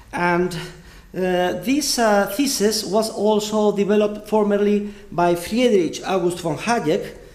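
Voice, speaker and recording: Very slow speech from a man with a high pitch, ordinary pitch variation and very even loudness, in audible room echo. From Spain. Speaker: economics professor. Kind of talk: lecture. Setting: university lecture hall with audience. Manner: hesitant with frequent fillers.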